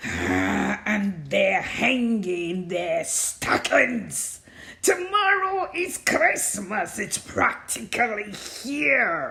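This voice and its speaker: Growling and hissing, a put-on character voice with a fairly high pitch crawls along at a very slow pace. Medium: read story. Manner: sneering, scheming.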